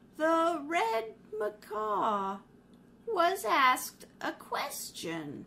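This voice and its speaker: A woman puts on a character voice, pitched fairly high. She talks very slowly, and her pitch swings very widely. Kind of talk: 1930s radio acting. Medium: audio drama. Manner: haughty.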